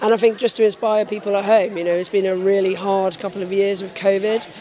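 Over noticeable background noise, a woman talks at a very fast pace. Her medium-pitched delivery has a monotone, flat intonation. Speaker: air force nursing officer. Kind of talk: interview recounting personal story.

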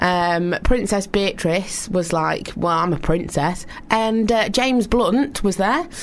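A woman with a Yorkshire accent talks at a fairly slow pace with lively intonation over noticeable background noise. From northern England. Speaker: radio co-host. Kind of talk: casual chat. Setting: studio.

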